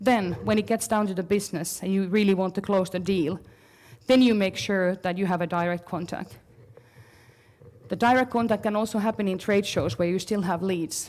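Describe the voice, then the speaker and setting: At a moderate pace, a woman speaks at medium pitch with ordinary pitch variation, in an ordinary speaking voice. The recording is very clean, with a silent background. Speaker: marketing consultant. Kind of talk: conference talk.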